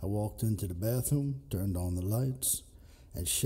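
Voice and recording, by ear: A text is being read aloud. The delivery is natural.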